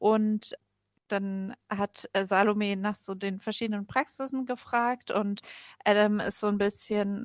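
A woman at medium pitch. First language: German. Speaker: radio host. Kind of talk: summary in German.

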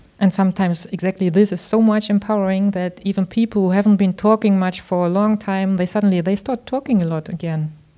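A woman with a German accent speaks very fast with hardly any pauses, her medium-pitched voice dark and mellow with fairly even intonation. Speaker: radio host. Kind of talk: radio interview. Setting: radio station project room.

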